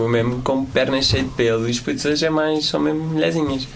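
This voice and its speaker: A man races along at a very fast pace while noticeable background noise and audible room echo fill the recording. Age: 20s. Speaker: social media and tech guest. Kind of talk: casual interview.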